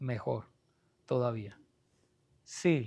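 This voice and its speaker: A man speaks with lively intonation. The recording is very clean, the background silent. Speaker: pastor teaching a Bible study class. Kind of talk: Bible study lecture. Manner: soft-spoken.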